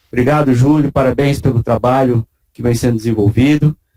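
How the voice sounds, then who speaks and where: The voice has a dark, mellow tone and moves at a moderate pace. The sound is dry and close, with no echo. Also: man. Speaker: university vice-rector. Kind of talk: ceremonial speech. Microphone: speaking without a face mask.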